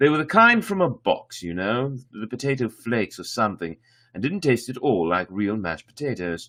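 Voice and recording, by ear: A passage is read aloud in a natural voice.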